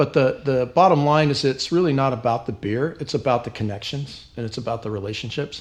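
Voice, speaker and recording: Speaking at a fairly quick pace with hardly any pauses, a man keeps a medium pitch and ordinary pitch variation. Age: 60s. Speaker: brewery owner. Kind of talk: interview. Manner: halting, many fillers.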